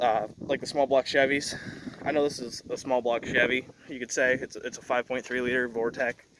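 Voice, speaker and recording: Medium-pitched male voice, monotone and flat, at a fairly quick pace over noticeable background noise. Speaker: truck vlogger. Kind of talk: walkaround tutorial. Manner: fast; rambling, halting.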